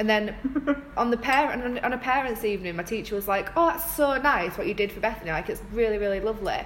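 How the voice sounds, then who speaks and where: Over noticeable background noise, a woman talks at a very fast pace with a fairly high pitch and lively intonation. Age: 20s. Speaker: podcast co-host. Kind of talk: casual chat.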